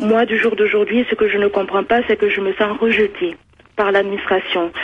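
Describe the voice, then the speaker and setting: A woman's fairly high voice at a fairly slow pace, fairly even in intonation, with noticeable background noise. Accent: Toulouse. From Mali. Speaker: nursing assistant. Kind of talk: phone-in testimony. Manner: halting.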